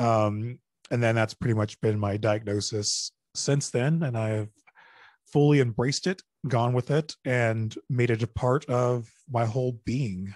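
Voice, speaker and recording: A man's plain, everyday voice at a fairly slow pace, with ordinary pitch variation against a quiet background. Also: medium pitch for a man, dry, close sound with no echo. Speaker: mental health advocate and public speaker. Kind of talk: casual interview chat. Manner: casual, conversational.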